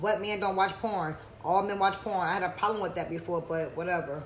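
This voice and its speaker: With noticeable background noise behind her, a woman talks in an animated tone with ordinary pitch variation. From US, Georgia King Village housing community. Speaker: podcast co-host. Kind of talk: casual chat. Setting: studio streamed live on YouTube.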